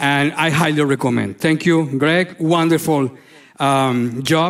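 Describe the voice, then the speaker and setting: With a Spanish accent, a man talks at a fairly slow pace. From Colombia. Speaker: neurologist. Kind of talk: lecture. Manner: halting.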